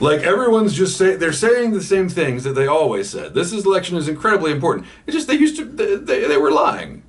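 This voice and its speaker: A man with an American accent talks at a very fast pace, with hardly any pauses and noticeable background noise behind him. His high pitch makes very wide swings. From US South, Georgia. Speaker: pipe-smoking YouTuber. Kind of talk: casual vlog, reading and answering comments. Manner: hesitant, many repeated words.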